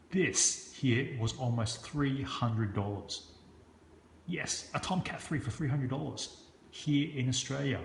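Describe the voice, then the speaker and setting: A man's somewhat breathy voice at a fairly slow pace, with audible room echo. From Hong Kong. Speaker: construction business owner and knife reviewer. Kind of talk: product review video. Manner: casual, halting with frequent fillers.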